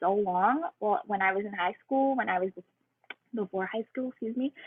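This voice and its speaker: This woman has a bubbly tone and a fairly high pitch. Her pitch varies in an ordinary way. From Ontario, Canada. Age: 20s. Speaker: fitness coach. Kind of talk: casual webinar testimony.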